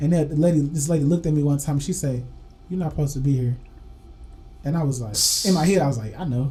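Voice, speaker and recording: Music plays in the background as a man with a fairly high pitch talks at a very fast pace with long, frequent pauses. His pitch varies in an ordinary way, and there is audible room echo. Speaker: podcast co-host. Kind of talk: casual chat. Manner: animated.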